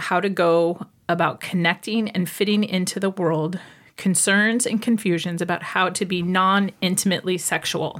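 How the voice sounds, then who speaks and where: In a very clean recording with a silent background, a woman with a plain, everyday voice speaks at a moderate pace and medium pitch, with fairly even intonation and very even loudness. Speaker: podcast host and medical intuitive.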